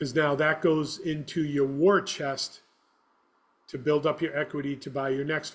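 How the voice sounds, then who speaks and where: In a very clean recording with a silent background, a man with a normal speaking voice talks at a moderate pace and fairly high pitch, with fairly even intonation and big swings in loudness. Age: 60s. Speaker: property manager. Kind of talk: interview.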